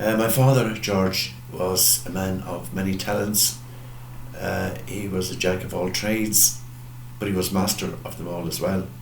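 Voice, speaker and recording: A man with a western Irish accent and a very deep, low pitch, speaking at a fairly slow pace with lively intonation, amid noticeable background noise and audible room echo. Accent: Irish (west of Ireland). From Ireland, County Mayo. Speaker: parish priest. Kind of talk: farewell address. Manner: hesitant, with frequent fillers.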